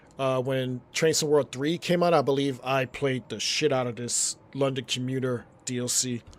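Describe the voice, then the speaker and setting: Noticeable background noise sits behind a man speaking at a moderate pace with hardly any pauses. His medium-pitched voice keeps fairly even intonation. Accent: American. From US Northeast, New York City. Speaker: gaming streamer. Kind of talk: live gameplay commentary. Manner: casual, conversational.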